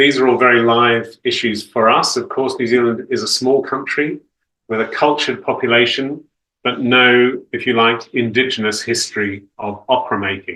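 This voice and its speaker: A man talks with a British accent at a moderate pace. His voice sits at a medium pitch with a bright, sharp tone. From Australia, Sydney. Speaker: opera conductor and company director. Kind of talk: talk to an audience over video. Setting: video call. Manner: articulate, measured.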